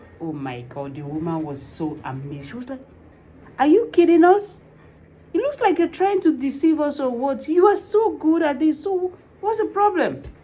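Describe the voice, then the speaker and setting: Pausing often and at length, a woman with a non-native accent speaks at a moderate pace. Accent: foreign. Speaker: vlogger, tax preparer. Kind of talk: personal vlog, motivational talk. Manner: animated.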